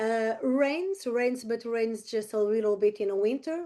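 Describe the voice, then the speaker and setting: With a Portuguese accent, the voice has a dark, mellow tone and ordinary pitch variation. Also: woman. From Portugal, Algarve. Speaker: real estate agent. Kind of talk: presentation. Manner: halting.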